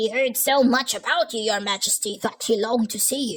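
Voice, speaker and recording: A woman uses a put-on character voice at a fairly high pitch. She keeps a moderate pace. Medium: read story.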